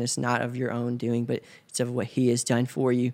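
A man in a Tennessee accent talks at a fairly quick pace in a medium pitch. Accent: US Southern (Tennessee). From West Tennessee, small town near Memphis. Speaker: church member. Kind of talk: interview. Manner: hesitant, many fillers.

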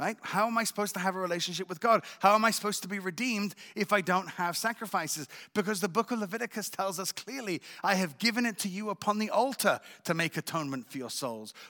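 A man's high, bright, sharp voice is raised and projected at a very fast pace. The recording is very clean, with a silent background. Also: ordinary pitch variation, dry, close sound with no echo. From England and France. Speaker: visiting missionary speaker. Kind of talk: church talk and testimony.

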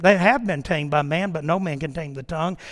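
A man at a fairly quick pace, with ordinary pitch variation. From US South, Mississippi (born in New York). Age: 60s. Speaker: pastor. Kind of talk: sermon. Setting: church. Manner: animated.

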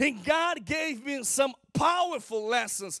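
A man with a Brazilian Portuguese accent sounds animated, his extremely high pitch carrying a bright, sharp tone. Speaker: guest preacher. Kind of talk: sermon. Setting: church.

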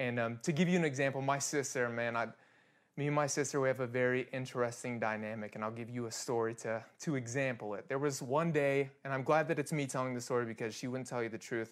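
A man with a Midwestern American accent speaks at a very fast pace in a medium pitch. His intonation is fairly even, and the recording is very clean with a silent background. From Kansas. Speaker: worship leader. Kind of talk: sermon.

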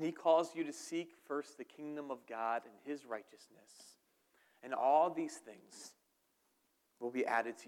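A man with a Philadelphia accent talks at a fairly slow pace and a fairly high pitch, with long, frequent pauses. His loudness swings widely. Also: ordinary pitch variation. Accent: Philadelphia-area American. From southern New Jersey, near Philadelphia. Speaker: pastor. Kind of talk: sermon. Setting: church.

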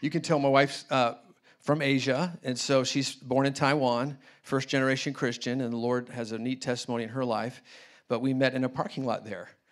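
A man with an American accent speaks in a plain, everyday voice at a medium pitch and a fairly quick pace. His intonation is fairly even, and the recording is very clean with a silent background. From US Midwest (Indianapolis). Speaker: missionary and guest preacher. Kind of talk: sermon. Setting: church service.

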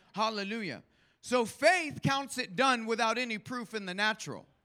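A man speaks in an extremely high pitch with a bright, sharp tone and a raised, projected voice. His intonation is lively and his pace moderate. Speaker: guest preacher. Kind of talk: sermon with congregation call-and-response. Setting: church. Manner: animated, fervent, exhorting, rising intensity.

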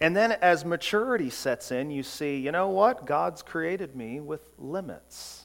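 A plain, everyday voice speaks at a fairly slow pace on a very clean recording with a silent background. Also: man, fairly high pitch for a man, lively intonation. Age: 40s. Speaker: pastor. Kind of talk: sermon.

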